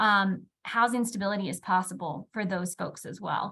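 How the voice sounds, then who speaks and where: At a moderate pace, a woman speaks in a medium pitch on a very clean recording with a silent background. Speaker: housing policy researcher. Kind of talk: panel presentation.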